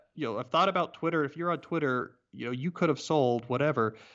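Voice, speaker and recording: A man with an unremarkable speaking voice talks at a fairly quick pace and a fairly high pitch, with lively intonation. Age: 30s. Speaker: author. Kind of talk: interview.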